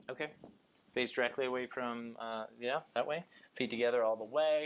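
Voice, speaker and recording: At a fairly quick pace, a man talks in an ordinary speaking voice of medium pitch with ordinary pitch variation. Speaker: chiropractor. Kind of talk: clinical examination talk, instructing patient.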